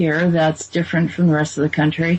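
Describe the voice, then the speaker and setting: A woman with an American accent talks in a fairly low pitch. Her intonation is monotone and flat. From Boston, New England. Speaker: channel host. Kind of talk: casual chat.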